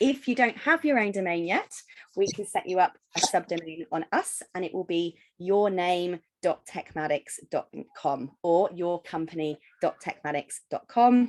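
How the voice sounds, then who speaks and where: An ordinary speaking voice with lively intonation comes through in a dry, close sound without echo. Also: woman, fairly low pitch for a woman, moderate pace. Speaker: software company founder. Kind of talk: tutorial.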